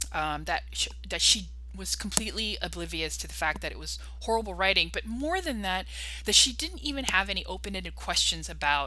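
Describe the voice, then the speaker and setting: Noticeable background noise and audible room echo fill the clip. Within it, a woman speaks fairly quickly. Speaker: vlogger. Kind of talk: personal monologue. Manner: fast; halting.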